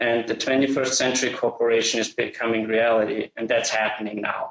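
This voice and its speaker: Speaking with an Austrian accent, a man holds a medium pitch in monotone, flat intonation at a moderate pace. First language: German. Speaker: software integration expert. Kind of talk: webinar presentation.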